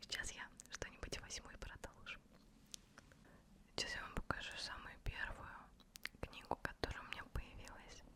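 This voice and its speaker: The woman speaks in a whisper. Her pauses come often and run long. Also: moderate pace. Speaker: ASMR creator. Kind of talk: ASMR talk to camera. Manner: whispered.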